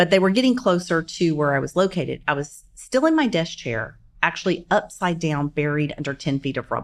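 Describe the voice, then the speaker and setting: With an American accent, a woman talks at a fairly quick pace in an unremarkable speaking voice, her pitch fairly low and her intonation lively. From US South, Shreveport, Louisiana. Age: 50s. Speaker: bombing survivor and CEO. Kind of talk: interview storytelling. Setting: studio.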